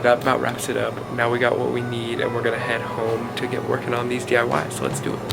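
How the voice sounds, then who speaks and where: Very fast, quiet speech over music in the background, with audible room echo. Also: man. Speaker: lifestyle YouTuber. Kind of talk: DIY tutorial vlog. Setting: busy store. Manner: quiet in store.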